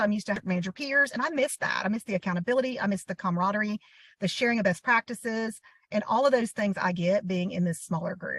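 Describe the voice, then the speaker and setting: A woman with a Southern US accent speaks at a fairly quick pace in a fairly high, somewhat breathy voice, the sound dry and close with no echo. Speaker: boutique owner. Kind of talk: interview.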